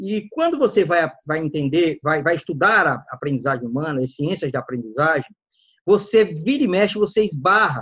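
This man's voice sits high in pitch. He talks at a moderate pace. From Alagoas, Brazil (Northeast), raised in Maceió. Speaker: data scientist. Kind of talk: interview conversation. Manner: halting, frequent repetitions.

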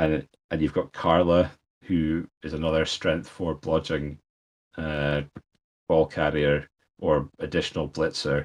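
Speaking with a Scottish accent, a man uses a very deep, low pitch and monotone, flat intonation at a fairly slow pace with long, frequent pauses. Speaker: podcast co-host, tournament organiser. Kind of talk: casual chat.

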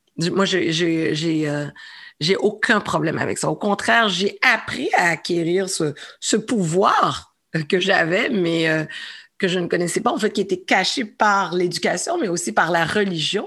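A woman speaks in an ordinary speaking voice at a fairly slow pace, with medium pitch and ordinary pitch variation, on a very clean recording with a silent background. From Montreal, Quebec (Saint-Michel). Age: 40s. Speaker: entrepreneur and former comedian. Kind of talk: interview.

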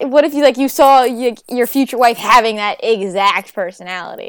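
On a very clean recording with a silent background, a woman with a New York accent speaks at a fairly high pitch and a moderate pace. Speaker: podcast host. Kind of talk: casual chat.

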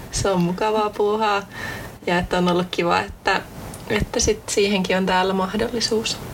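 Over noticeable background noise, a woman at a medium pitch speaks in a flat monotone at a moderate pace, her loudness very even. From Central Finland, near Jyväskylä. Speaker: student podcast host. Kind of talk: casual chat. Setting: studio.

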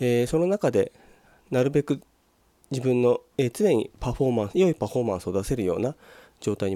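Talking at a very fast pace, a man with a medium pitch and very wide pitch swings has a dark, mellow tone, heard in a dry, close sound with no echo on a very clean recording with a silent background. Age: 40s. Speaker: solo business podcaster. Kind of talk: solo monologue. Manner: polite, formal.

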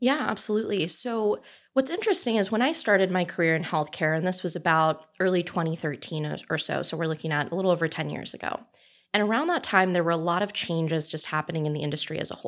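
In a very clean recording with a silent background, a woman with an American accent talks at a very fast pace, her fairly low pitch showing ordinary variation. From Southern California. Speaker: tech startup CEO. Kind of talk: interview.

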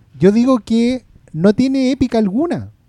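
Speaking very slowly with a Chilean accent, a man has a dark, mellow tone in a dry, close sound with no echo. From Chile, Maipú (Santiago). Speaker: film podcast panelist. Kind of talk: casual chat.

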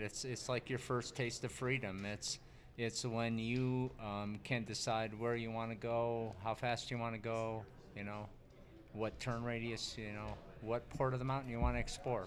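A man with an American accent speaks at a moderate pace and medium pitch in a plain, everyday voice. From US East. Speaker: ski instructor coach. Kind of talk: casual interview.

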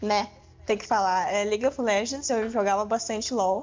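This is a woman with an unremarkable speaking voice, pitched fairly high. Her intonation stays fairly even. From southern Brazil. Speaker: gamer. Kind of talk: casual chat.

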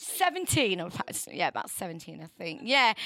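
A woman with a northern English accent uses a raised, projected voice, bright and sharp in tone and animated, with very wide pitch swings at a fairly slow pace on a very clean recording with a silent background. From northern England. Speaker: radio presenter. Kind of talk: casual radio chat. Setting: radio studio. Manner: chatty, jokey, animated.

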